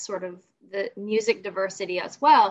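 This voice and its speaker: A woman with an American accent uses a normal speaking voice at medium pitch and a moderate pace. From Southern West Virginia, US. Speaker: guest co-host, podcaster. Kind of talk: casual chat.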